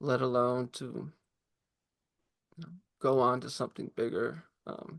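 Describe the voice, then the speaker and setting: The speech moves at a fairly slow pace with fairly even intonation, big swings in loudness, and long, frequent pauses. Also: woman, very deep, low pitch for a woman. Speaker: musician and poet, podcast guest. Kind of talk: personal testimony in casual conversation. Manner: halting, repeating words.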